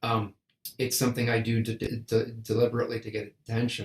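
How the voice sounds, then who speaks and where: Somewhat breathy male speech at medium pitch and a fairly quick pace. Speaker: composer and conductor. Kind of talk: interview. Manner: halting, repeated syllables.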